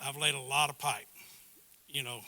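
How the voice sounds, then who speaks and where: Here a man talks with a Texan accent. His tone is bright and sharp, and his pace is moderate. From Texas, River Plantation area (near Houston). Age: 60s. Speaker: board candidate, retired businessman. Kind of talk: candidate introduction speech at community meeting. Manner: halting, many fillers.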